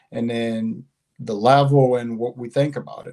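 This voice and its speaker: At a fairly slow pace, a man speaks in a dark, mellow tone at medium pitch, his intonation monotone and flat. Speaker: advanced English student. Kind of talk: testimony. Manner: halting.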